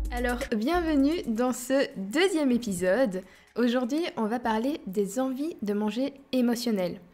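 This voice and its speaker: A woman with a high pitch at a very slow pace, music in the background. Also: lively intonation. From Belgium. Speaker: dietitian. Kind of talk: podcast talk. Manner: casual, hesitant.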